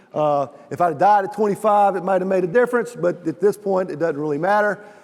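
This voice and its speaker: Over noticeable background noise, a man speaks very fast in a high voice with ordinary pitch variation. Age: 60s. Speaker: chapel speaker. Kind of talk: sermon. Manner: halting.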